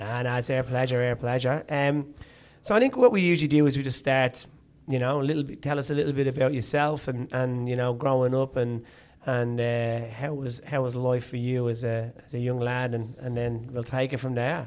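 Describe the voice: A man speaks at medium pitch with a slightly mellow tone. His intonation is fairly even and his pace moderate.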